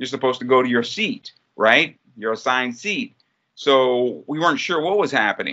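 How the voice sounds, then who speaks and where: Using a plain, everyday voice, a man speaks with an American accent at medium pitch. He keeps a moderate pace and lively intonation. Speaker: soccer play-by-play announcer. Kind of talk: casual interview chat.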